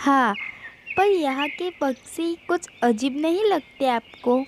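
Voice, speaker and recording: A high-pitched, cartoonish character voice drags along at a very slow pace. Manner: anxious.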